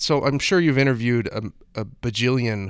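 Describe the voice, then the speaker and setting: A man with an American accent is heard in a very clean recording with a silent background. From Florida. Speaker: podcast co-host. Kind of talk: casual chat. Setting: studio. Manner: animated.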